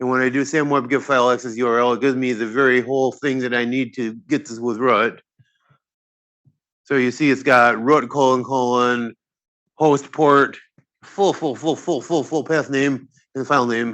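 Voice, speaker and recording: A man with an unremarkable speaking voice speaks at a medium pitch. His intonation is fairly even and his pace moderate. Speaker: physicist giving a computing tutorial. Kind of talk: tutorial.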